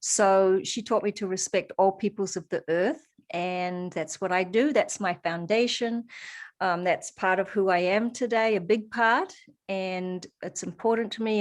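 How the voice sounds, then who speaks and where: On a very clean recording with a silent background, a woman with a New Zealand accent speaks at a moderate pace, at medium pitch with ordinary pitch variation. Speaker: holistic practitioner and coach. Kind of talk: interview. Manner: hesitant, many fillers.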